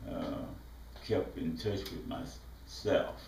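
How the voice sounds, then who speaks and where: A man with a Mississippi accent at a very slow pace, amid noticeable background noise and audible room echo. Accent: Southern US, Mississippi. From US South, southwest Mississippi. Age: 70s. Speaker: visual artist. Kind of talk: autobiographical talk. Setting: art studio. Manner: halting, many fillers.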